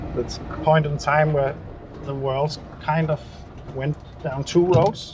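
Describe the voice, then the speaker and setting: Against noticeable background noise, a man with a Danish accent talks fairly slowly at a fairly high pitch, with fairly even intonation and long, frequent pauses. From Denmark. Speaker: car restoration YouTuber. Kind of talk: casual video commentary while driving. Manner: relaxed, with frequent fillers.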